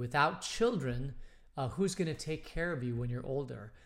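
A man talks at a moderate pace with lively intonation and medium pitch. Audible room echo surrounds his voice. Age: 50s. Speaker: pastor leading bible study. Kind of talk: casual bible study talk. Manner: hesitant, many fillers.

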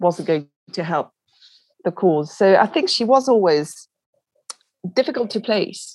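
In a French accent, a woman speaks at a fairly slow pace. Her intonation is lively and her pitch medium. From France. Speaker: literary agent. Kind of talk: interview.

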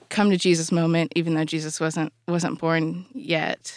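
In a very clean recording with a silent background and a dry, close sound with no echo, a woman with an unremarkable speaking voice and a fairly low pitch talks at a fairly slow pace with fairly even intonation. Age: 20s. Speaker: university student and former podcast intern. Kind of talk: casual Bible study discussion. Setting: podcast studio.

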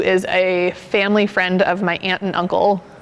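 With an American accent, a woman speaks at a medium pitch in a monotone, flat way. Noticeable background noise runs behind her. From Portland suburb, Oregon. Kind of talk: casual interview.

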